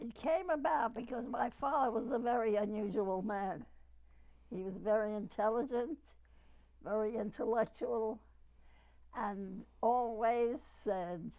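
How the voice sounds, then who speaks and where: Talking fairly slowly with long, frequent pauses, a woman with a New York accent has a dark, mellow tone and a fairly high pitch. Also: ordinary pitch variation. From New York City. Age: 80s+. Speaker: retired pharmacist, oral history interviewee. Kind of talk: oral history interview.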